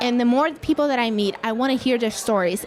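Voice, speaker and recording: A woman speaks with a high pitch and lively intonation. Noticeable background noise runs underneath. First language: not English. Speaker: podcaster. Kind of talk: casual interview. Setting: live event.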